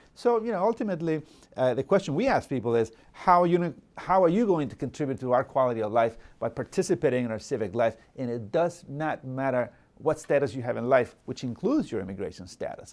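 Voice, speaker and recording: A man with a Salvadoran accent, a fairly high pitch, very wide pitch swings, and a very fast pace. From El Salvador. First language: Spanish. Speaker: local politician. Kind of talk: interview. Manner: halting, many fillers and repetitions.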